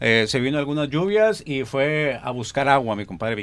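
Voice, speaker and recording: Against a quiet background, a man speaks at a moderate pace in an unremarkable speaking voice. His pitch is fairly high, and his intonation is lively. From Linares, Nuevo León, Mexico. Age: 40s. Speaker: radio announcer and TV news presenter. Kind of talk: casual interview chat.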